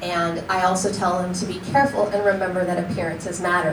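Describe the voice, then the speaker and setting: A woman at a medium pitch speaks fairly quickly with fairly even intonation, with audible room echo and noticeable background noise. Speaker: county attorney giving training. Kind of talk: training presentation. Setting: public meeting room. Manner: fast.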